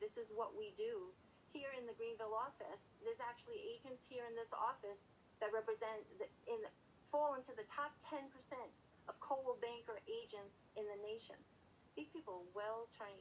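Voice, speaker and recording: A woman's high-pitched, passionate delivery with a Brooklyn accent, lively intonation, a fairly quick pace and long, frequent pauses. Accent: Brooklyn New York. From New York City, Brooklyn. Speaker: real estate manager. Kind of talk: interview.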